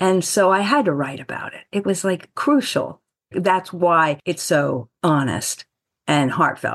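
With an ordinary speaking voice, a woman speaks fairly slowly at a fairly low pitch, her loudness swinging widely. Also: lively intonation. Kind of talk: interview.

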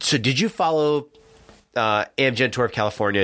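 This is an ordinary speaking voice with an American accent and ordinary pitch variation. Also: man. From New Jersey, US. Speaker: cycling podcast co-host, amateur bike racer. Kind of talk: casual chat. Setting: studio.

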